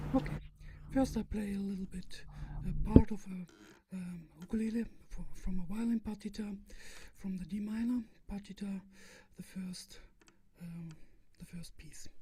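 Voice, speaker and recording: A woman talks at a moderate pace with a medium pitch and fairly even intonation, her loudness swinging widely. She leaves long, frequent pauses over noticeable background noise. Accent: German. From Germany. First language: German. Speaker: ukulele performer and instructor. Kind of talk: casual chat. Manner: halting.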